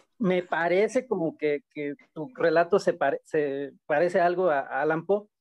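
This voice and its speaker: A man talks fairly slowly with hardly any pauses. His voice is high-pitched, with ordinary pitch variation. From Mexico, Bajío (Irapuato, Guanajuato). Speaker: short story writer. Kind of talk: casual chat.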